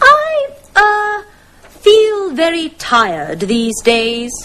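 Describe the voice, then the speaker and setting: A woman puts on a squeaky character voice at an extremely high pitch. She speaks at a very slow pace with very wide pitch swings. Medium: audio drama. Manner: hesitant, polite.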